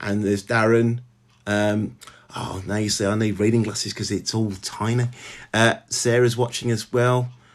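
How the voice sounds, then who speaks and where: At a moderate pace, a man speaks in a Birmingham accent with a medium pitch. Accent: Birmingham (Brummie), clear. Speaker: novelist. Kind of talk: casual chat. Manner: halting, many fillers.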